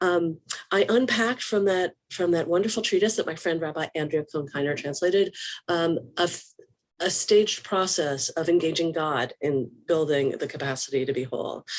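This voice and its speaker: At a moderate pace, a woman speaks, her pitch moving in an ordinary way. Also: fairly low pitch for a woman. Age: 60s. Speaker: rabbi. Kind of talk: live online discussion. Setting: video call. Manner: halting.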